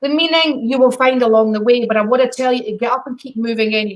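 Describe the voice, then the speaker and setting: A woman with a Scottish accent speaks at a moderate pace with fairly high pitch and fairly even intonation. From Scotland. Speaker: psychic medium. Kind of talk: live psychic readings. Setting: live video stream.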